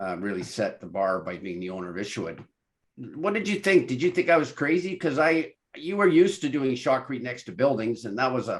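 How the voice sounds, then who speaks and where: A man's fairly high voice with vocal fry, very wide pitch swings and a fairly quick pace, on a very clean recording with a silent background. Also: big swings in loudness. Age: 60s. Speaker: podcast host, engineer. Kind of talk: interview conversation.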